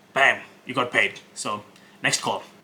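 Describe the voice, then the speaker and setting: Speaking with an Indian accent at a fairly slow pace, a man is heard over noticeable background noise. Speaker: web design agency owner. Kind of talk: cold sales calls and vlog commentary. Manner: hesitant, many fillers.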